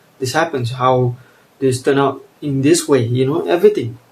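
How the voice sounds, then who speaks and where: A somewhat breathy voice at a moderate pace with fairly even intonation. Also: man. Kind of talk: casual monologue. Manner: halting.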